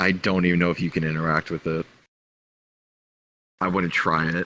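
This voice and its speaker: Putting on a character voice, a man speaks in a very deep, low, raspy register with flat, monotone intonation at a fairly quick pace. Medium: actual play. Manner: dry, guarded.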